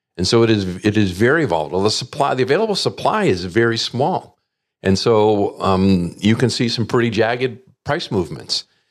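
In a very clean recording with a silent background, a man with an ordinary speaking voice speaks at a medium pitch, his intonation lively and his loudness very even. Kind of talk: interview.

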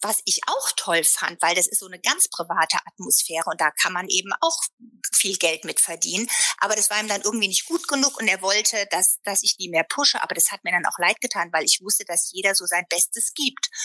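Lively in intonation and bright, sharp in tone, a woman speaks at a fairly quick pace and medium pitch in a dry, close sound with no echo. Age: 50s. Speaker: fashion sales entrepreneur. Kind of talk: casual interview. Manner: talkative, many fillers.

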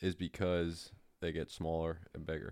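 A man speaks in an animated tone at a moderate pace, captured in a very clean recording with a silent background. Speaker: co-host. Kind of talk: casual banter. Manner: animated, joking.

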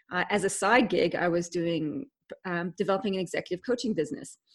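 A woman speaks with a Canadian accent at a moderate pace. Her pitch varies in an ordinary way over a quiet background. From Canada. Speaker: leadership expert, author. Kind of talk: interview. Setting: video call.

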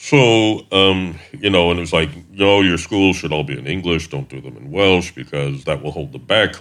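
A man with an American accent, a very deep, low pitch and vocal fry. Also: lively intonation, moderate pace, big swings in loudness. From US South, Middle Tennessee (Wayne County). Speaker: missionary. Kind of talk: interview.

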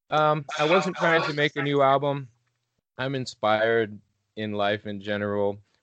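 A man with an unremarkable speaking voice, medium pitch, moderate pace and lively intonation. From Illinois. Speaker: musician. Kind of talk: interview.

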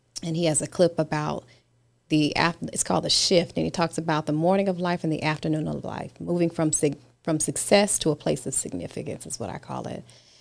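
A woman with an American accent talks at a fairly quick pace and a very deep, low pitch. Her voice shows vocal fry and ordinary pitch variation. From US and British Virgin Islands. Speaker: author and business consultant. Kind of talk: interview.

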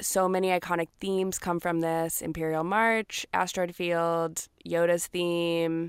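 With an American accent, a woman speaks at a very slow pace and with fairly even intonation, her voice dry and close with no echo on a very clean recording over a silent background. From US South (Georgia). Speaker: podcast co-host. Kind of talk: casual chat.

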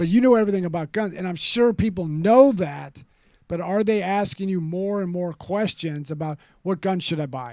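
In a very clean recording with a silent background, a man with an American accent speaks at a moderate pace in a high, dark, mellow voice with ordinary pitch variation. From California. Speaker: podcast host, Marine combat veteran. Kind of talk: political talk show.

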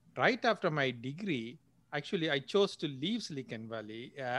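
A man with a Sri Lankan accent speaks at medium pitch and a moderate pace over a quiet background. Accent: Sri Lankan Tamil English. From Jaffna, Sri Lanka. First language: Tamil. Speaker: entrepreneur and angel investor. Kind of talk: casual interview, storytelling. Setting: video call from Silicon Valley. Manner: halting, filler-heavy.

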